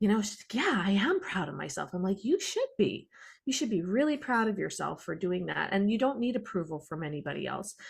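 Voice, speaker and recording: On a very clean recording with a silent background, a woman with a Canadian accent speaks at a medium pitch and a fairly quick pace. Her voice is somewhat breathy, with lively intonation. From Canada. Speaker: podcast host. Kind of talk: interview conversation.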